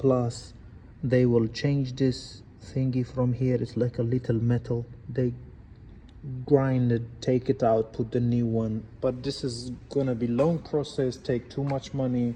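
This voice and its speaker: Speaking with a non-native accent, a man has a dark, mellow tone, somewhat breathy, at a fairly slow pace with monotone, flat intonation. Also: medium pitch for a man. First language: not English. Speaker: car mechanic. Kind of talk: tutorial.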